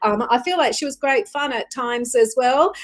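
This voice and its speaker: A woman with an Australian accent, a warm tone and a moderate pace. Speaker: psychic medium, tarot reader. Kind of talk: live-stream psychic reading. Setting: live stream. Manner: warm, chatty with many fillers.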